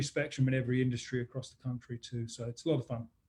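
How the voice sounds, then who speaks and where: With an American accent, a man is talking. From England, London. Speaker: business consultant. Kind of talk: webinar interview.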